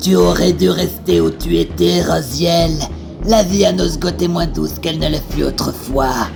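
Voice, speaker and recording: A put-on character voice at a moderate pace over loud background noise. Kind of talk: epic fantasy voice acting. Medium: fan dub. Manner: taunting.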